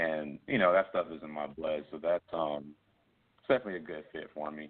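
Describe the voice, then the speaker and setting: With an American accent, a man speaks in a very deep, low voice and fairly even intonation. His loudness swings widely. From US South, Columbia, South Carolina. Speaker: musician. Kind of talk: interview. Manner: casual.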